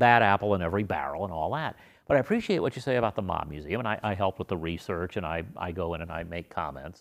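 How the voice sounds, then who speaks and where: A plain, everyday voice with an American accent moves at a fairly quick pace with lively intonation. The recording is very clean with a silent background. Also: man. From Las Vegas, Nevada. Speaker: history professor. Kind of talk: interview conversation.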